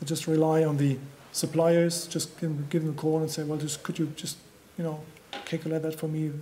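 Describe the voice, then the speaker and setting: Light background noise sits behind a man with a German accent. His fairly high pitch stays monotone and flat at a fairly quick pace. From Germany. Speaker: construction trainer. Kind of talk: conference presentation. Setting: stage with audience. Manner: halting. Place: hall. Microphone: podium.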